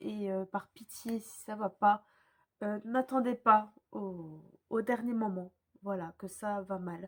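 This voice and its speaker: At a very slow pace, a woman speaks at a medium pitch with fairly even intonation and big swings in loudness. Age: young. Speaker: YouTuber. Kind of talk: casual vlog talk. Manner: hesitant, many fillers; calm, relaxed.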